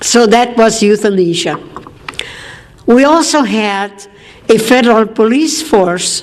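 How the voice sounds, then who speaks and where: Long, frequent pauses from a woman at a very slow pace, with a fairly high pitch, lively intonation, very even loudness and noticeable background noise. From Austria. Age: 80s+. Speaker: war survivor speaker. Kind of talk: testimony speech.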